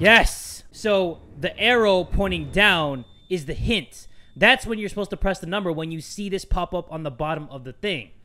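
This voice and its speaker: Lively intonation from a high-pitched man at a moderate pace, with music in the background. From Thai heritage. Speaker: gaming youtuber. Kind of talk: let's play commentary. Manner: animated. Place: home room.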